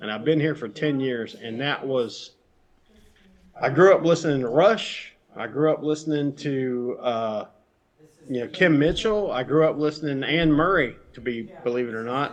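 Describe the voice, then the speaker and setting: With a Southern US accent, a man speaks at a fairly high pitch. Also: ordinary pitch variation, moderate pace. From US South, Georgia. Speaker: musician and film-maker. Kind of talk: casual chat.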